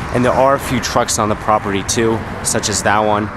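There is noticeable background noise behind this man's voice. He talks at a fairly quick pace and a fairly low pitch, the sound dry with no echo. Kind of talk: casual vlog commentary. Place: open country.

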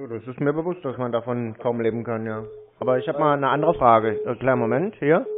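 Very fast speech from a man at a medium pitch with ordinary pitch variation, set against noticeable background noise. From Germany. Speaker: scam-baiter. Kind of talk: phone conversation. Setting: phone call. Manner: sarcastic.

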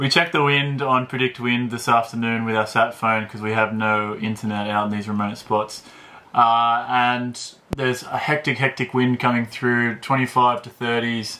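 Moderate pace and fairly even intonation, over light background noise. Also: man. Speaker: sailor vlogger. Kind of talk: casual vlog chat. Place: boat. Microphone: phone near.

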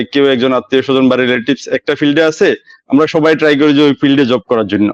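This is a man with a plain, everyday voice. His pitch sits fairly high. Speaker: migrant worker in Oman. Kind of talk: live talk show call-in. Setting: video call from a mobile phone shop.

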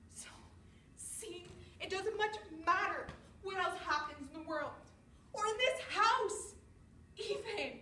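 Speaking very slowly with long, frequent pauses, a woman uses an extremely high, bright, sharp voice with lively intonation and big swings in loudness, amid audible room echo and light background noise. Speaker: actor rehearsing a monologue. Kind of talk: dramatic monologue performance. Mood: emotional, weary, resigned. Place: empty room. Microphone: camera far.

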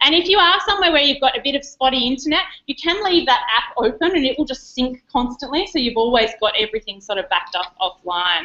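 A woman speaks at a very fast pace with an Australian accent, barely pausing. Her high voice swings very widely in pitch. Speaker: educational technology presenter. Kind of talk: conference workshop presentation. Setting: conference room with live audience, streamed online.

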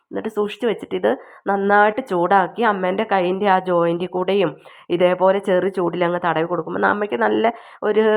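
The speaker has a North Kerala accent, recorded with a quiet background. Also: woman, medium pitch for a woman, ordinary pitch variation. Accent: Wayanad Malayalam dialect. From Kerala, Wayanad. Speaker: YouTube home remedy vlogger. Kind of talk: cooking tutorial. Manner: casual, halting.

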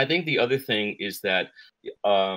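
The man talks at a moderate pace with a medium pitch, the sound dry with no echo and the background quiet. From New Zealand. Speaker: voice actor and director. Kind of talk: interview answer. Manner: relaxed, conversational, thoughtful. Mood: relaxed, animated hand gestures. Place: home room.

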